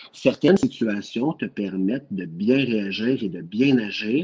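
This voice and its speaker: In a Quebec accent, a man speaks at a very slow pace and a medium pitch, with very wide pitch swings. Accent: Québécois French. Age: 30s. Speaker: nurse. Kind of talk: casual chat.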